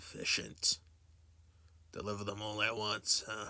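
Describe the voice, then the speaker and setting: A man uses a put-on character voice that is raspy and fairly low in pitch. He speaks at a moderate pace in a monotone, flat intonation. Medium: actual play. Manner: curt, dismissive.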